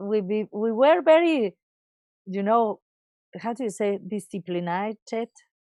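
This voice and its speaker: A woman speaks with a Spanish accent and ordinary pitch variation. The sound is dry and close, with no echo. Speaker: advertising creative director. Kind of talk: interview. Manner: halting.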